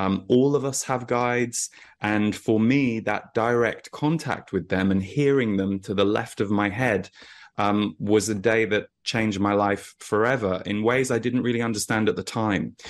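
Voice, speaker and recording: With fairly even intonation and an ordinary speaking voice, a man talks in a fairly low pitch against a quiet background. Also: moderate pace. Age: 40s. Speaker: energy intuitive and author. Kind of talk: interview.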